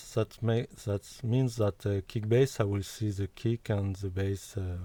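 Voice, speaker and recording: A somewhat breathy voice with a dark, mellow tone speaks at a fairly slow pace with fairly even intonation. The sound is dry and close with no echo, on a very clean recording with a silent background. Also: man. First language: not English. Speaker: music software developer. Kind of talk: tutorial. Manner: halting.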